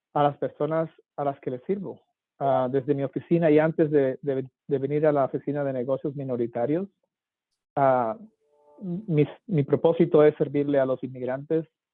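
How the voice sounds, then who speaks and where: A man speaks in a plain, everyday voice with a fairly high pitch. His intonation is fairly even and his pace moderate. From Colombia, Cartagena. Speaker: government official for minority businesses. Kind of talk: panel discussion.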